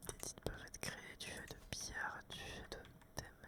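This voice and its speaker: Whispering in a relaxed tone, a man speaks at a fairly slow pace. Noticeable background noise is present. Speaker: ASMR content creator and gamer. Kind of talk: casual talk to camera while playing a video game. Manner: relaxed, chatty.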